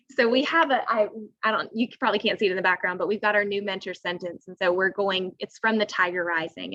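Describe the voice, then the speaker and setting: Recorded with a dry, close sound and no echo, a woman speaks at medium pitch in a bright, sharp tone. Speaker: fourth grade teacher. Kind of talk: parent information meeting presentation. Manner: fast.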